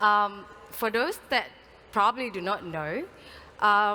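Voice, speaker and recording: A woman speaks at a fairly slow pace with ordinary pitch variation. Her tone is bright and sharp. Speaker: consortium program manager / conference speaker. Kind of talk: conference welcome speech. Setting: stage with audience. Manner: soft-spoken.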